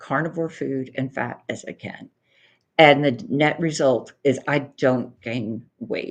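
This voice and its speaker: A woman speaks with a very deep, low pitch and ordinary pitch variation. Her pace is fairly slow, and the background is quiet. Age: 60s. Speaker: carnivore diet coach. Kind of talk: casual chat.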